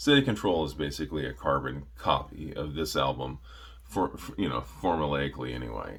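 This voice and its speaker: Mumbling at a moderate pace, a man speaks in a very deep, low pitch with vocal fry. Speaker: metal music reviewer. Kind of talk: casual monologue review. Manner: halting, many fillers.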